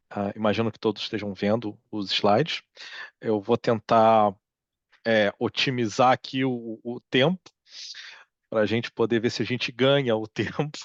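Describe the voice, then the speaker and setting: Heard in a dry, close sound with no echo, a man speaks at medium pitch with fairly even intonation. His pace is fairly slow, broken by long, frequent pauses. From Brazil. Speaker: psychology researcher, professor. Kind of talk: lecture. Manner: hesitant, many fillers.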